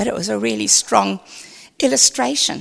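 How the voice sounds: The voice heard here is a natural reading voice.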